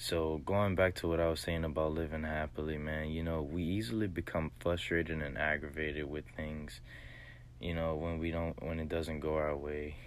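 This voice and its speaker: A man speaks with an American accent in a very deep, low voice, his intonation fairly even. He keeps a moderate pace, and the room echoes audibly. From US South, southwest Louisiana. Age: 20s. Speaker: podcaster. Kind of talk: motivational monologue. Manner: hesitant, many fillers.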